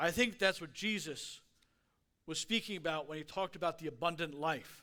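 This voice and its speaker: On a very clean recording with a silent background, a man with a high pitch speaks at a moderate pace with a bright, sharp tone and lively intonation. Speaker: guest speaker. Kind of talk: sermon. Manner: slurring words.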